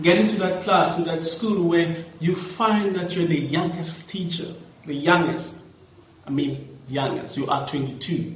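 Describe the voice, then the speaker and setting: The voice moves at a fairly slow pace with fairly even intonation, with audible room echo and noticeable background noise. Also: man, high pitch for a man. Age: 30s. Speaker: teacher and podcast host. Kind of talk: casual monologue.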